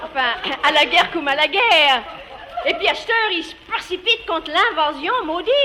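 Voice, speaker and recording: A woman with an extremely high pitch uses a raised, projected voice and very wide pitch swings at a fairly slow pace. Background noise is noticeable. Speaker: dialect storyteller. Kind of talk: humorous dialect monologue.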